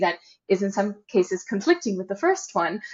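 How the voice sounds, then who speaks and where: A woman with an American accent and an unremarkable speaking voice talks at a fairly quick pace in a medium pitch. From United States. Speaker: trade compliance consultant, company co-founder. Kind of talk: podcast interview.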